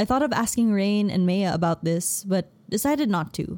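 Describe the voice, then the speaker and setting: A woman speaks in a normal speaking voice at medium pitch and a moderate pace, with lively intonation. The recording is very clean, with a silent background. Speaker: audiobook narrator. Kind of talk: audiobook narration of a romance novel, read aloud in first person. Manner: occasionally stumbles and laughs at flubs, then retakes lines.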